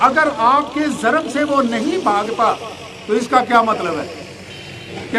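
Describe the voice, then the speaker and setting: A man speaks in a raised, projected voice with ordinary pitch variation and long, frequent pauses. Noticeable background noise and audible room echo fill the recording. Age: 60s. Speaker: retired army officer and religious speaker. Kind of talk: religious lecture.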